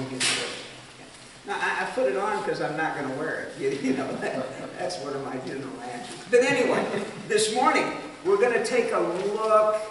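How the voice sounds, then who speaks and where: A man talks at a high pitch with very wide swings in pitch. Audible room echo and noticeable background noise surround his voice. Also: moderate pace. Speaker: missionary. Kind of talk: Sunday school Bible teaching. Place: hall. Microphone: camera far.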